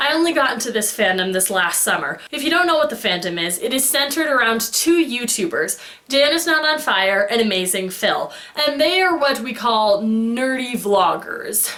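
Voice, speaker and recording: A loud, animated woman with a high pitch, very wide pitch swings and a moderate pace, with noticeable background noise and audible room echo. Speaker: fandom vlogger. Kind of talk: casual vlog monologue.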